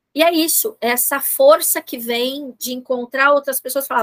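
The woman's voice is high and her pace fairly slow. The sound is dry and close, with no echo. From São Paulo city, Brazil. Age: 50s. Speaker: psychoanalyst and neuropsychologist. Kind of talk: interview about personal experience.

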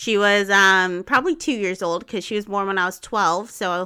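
At a moderate pace, a woman speaks at a medium pitch in a bright, sharp tone, on a very clean recording with a silent background. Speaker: podcast host. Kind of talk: casual chat.

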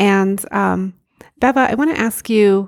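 Here a woman speaks at medium pitch. Her pitch variation is ordinary. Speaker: podcast host. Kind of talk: interview.

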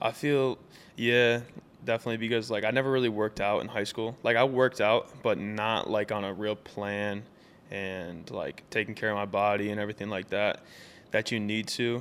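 An ordinary speaking voice, male and fairly low-pitched, with fairly even intonation and a moderate pace. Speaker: college quarterback. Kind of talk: casual interview.

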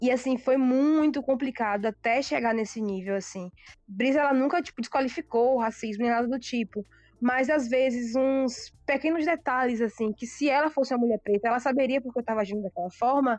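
A woman talks at a fairly quick pace in a high pitch with ordinary pitch variation. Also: dry, close sound with no echo. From southern Bahia, Brazil (Itacaré). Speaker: vegan food business owner. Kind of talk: casual chat.

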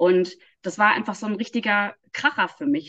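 This woman has a normal speaking voice, talking at a moderate pace with lively intonation. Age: 40s. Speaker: energy healing trainer. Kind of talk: casual interview.

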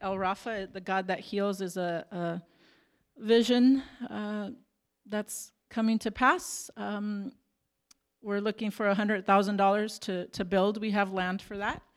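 In a normal speaking voice, a woman talks at a moderate pace and medium pitch with fairly even intonation. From Arizona, Tucson. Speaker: missionary nurse. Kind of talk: slideshow presentation. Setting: church.

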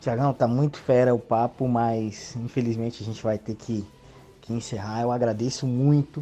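At a moderate pace, a man talks in a medium-pitched voice with monotone, flat intonation. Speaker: sports reporter and interviewer. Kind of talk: casual news segment; interview.

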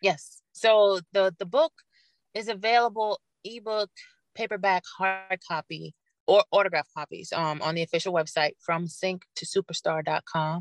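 Speaking at a fairly slow pace, a woman uses an unremarkable speaking voice with medium pitch and ordinary pitch variation, in a dry, close sound with no echo. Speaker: rapper, singer, songwriter and author. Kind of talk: casual interview chat.

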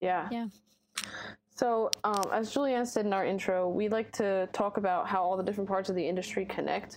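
Here a woman has a plain, everyday voice at a medium pitch, talking at a fairly quick pace with fairly even intonation and very even loudness. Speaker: podcast co-host. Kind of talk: interview.

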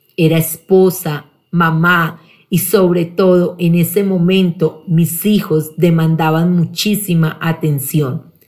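A woman speaks very slowly at a fairly low pitch. Her voice is somewhat breathy, with fairly even intonation. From Colombia, Pereira. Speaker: sales director. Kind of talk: personal testimony, read from script.

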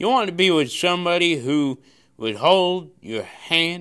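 On a very clean recording with a silent background, a man talks fairly slowly at a high pitch with a bright, sharp tone and very wide pitch swings. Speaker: preacher. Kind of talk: sermon; pep talk. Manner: forceful, repeats lines for emphasis; hesitant, with many filler sounds.

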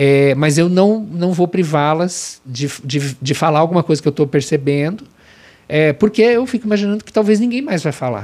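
Lively intonation and a fairly high pitch from a man at a moderate pace, in a normal speaking voice. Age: 50s. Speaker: corporate trainer and consultant. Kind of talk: interview.

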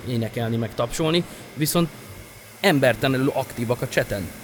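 A man speaks fairly quickly while noticeable background noise carries on around him. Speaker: DJ and music producer. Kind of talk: casual interview chat.

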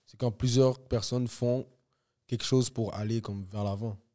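On a very clean recording with a silent background, a man with a medium pitch and a dark, mellow tone speaks fairly slowly with fairly even intonation. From Montreal, Quebec. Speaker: rapper. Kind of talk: casual chat.

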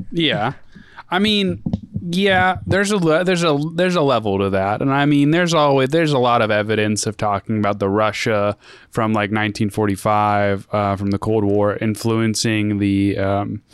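A man's plain, everyday voice, fairly low in pitch, at a moderate pace with lively intonation. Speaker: podcast host. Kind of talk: casual chat.

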